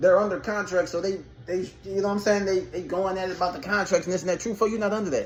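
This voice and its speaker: A man with a high pitch talks at a very fast pace. Noticeable background noise sits behind him. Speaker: battle rap commentator. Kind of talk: casual commentary monologue. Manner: stuttering at times.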